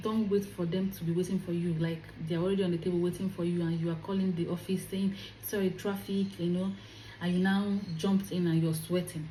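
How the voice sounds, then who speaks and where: A woman speaks at a fairly quick pace in a fairly low pitch, her tone dark, mellow and somewhat breathy. Room echo is audible around her voice. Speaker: career vlogger. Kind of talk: advice vlog. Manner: animated.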